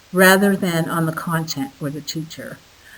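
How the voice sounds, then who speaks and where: Noticeable background noise is present. A woman is talking through it. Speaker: professor of education. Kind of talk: narrated lecture slides.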